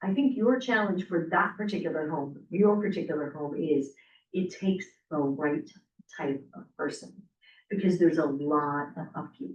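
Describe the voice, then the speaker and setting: At a moderate pace comes an unremarkable speaking voice. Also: woman, fairly low pitch for a woman, lively intonation. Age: 60s. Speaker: real estate agent trainer. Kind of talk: casual group discussion.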